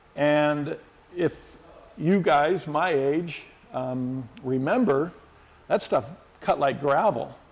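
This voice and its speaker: Noticeable background noise sits behind a man with a fairly high pitch and ordinary pitch variation. He talks very slowly with long, frequent pauses. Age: 60s. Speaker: car care product expert. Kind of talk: tutorial. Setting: body shop. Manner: casual, with frequent fillers.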